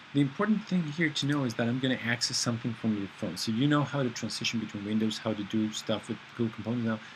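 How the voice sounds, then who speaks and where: A somewhat breathy man speaks at a very fast pace. He leaves hardly any pauses. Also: medium pitch for a man, ordinary pitch variation. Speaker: programming instructor. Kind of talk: screencast tutorial. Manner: halting, many fillers.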